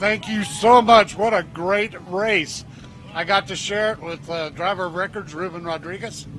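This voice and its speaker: Noticeable background noise sits behind the speech. The intonation stays fairly even. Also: man, high pitch for a man, moderate pace, big swings in loudness. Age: 70s. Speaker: off-road racer. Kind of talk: post-race interview. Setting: outdoors at race finish line.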